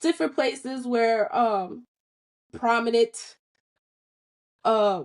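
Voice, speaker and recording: With a New York accent, a woman speaks at a very slow pace, leaving long, frequent pauses. Her voice is fairly high, with lively intonation. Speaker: podcast host. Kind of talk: casual chat.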